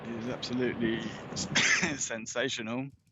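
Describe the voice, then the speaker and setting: Monotone and flat in intonation, a man talks at a moderate pace in a medium pitch, with audible room echo and noticeable background noise. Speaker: travel vlogger touring ancient sites. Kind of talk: live-streamed outdoor tour commentary. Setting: outdoors on a steep hillside. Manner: casual with frequent fillers and restarts.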